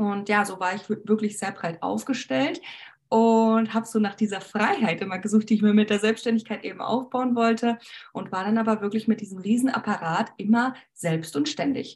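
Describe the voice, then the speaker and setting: A woman speaks at a moderate pace with a fairly high, somewhat breathy voice. Her pitch varies in an ordinary way. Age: 20s. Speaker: beauty entrepreneur, former cosmetician. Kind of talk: interview.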